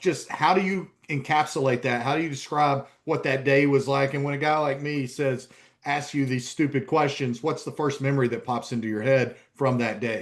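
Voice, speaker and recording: With a slight East Tennessee accent, a man speaks at a fairly high pitch. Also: fairly even intonation, moderate pace. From US South, East Tennessee. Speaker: sports journalist and podcast host. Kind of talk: podcast interview.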